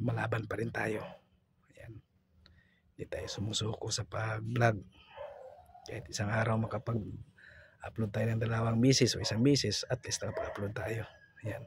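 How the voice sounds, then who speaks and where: Somewhat breathy and at a medium pitch, a man speaks at a moderate pace in a monotone, flat intonation, with long, frequent pauses. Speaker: vlogger. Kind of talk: vlog voice-over. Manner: casual.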